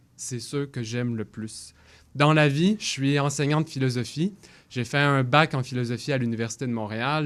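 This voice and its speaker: A man speaks at a moderate pace in a plain, everyday voice of medium pitch, his intonation fairly even. The recording is very clean, with a silent background. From Quebec, Longueuil. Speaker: political candidate. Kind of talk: candidate debate statement. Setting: radio studio.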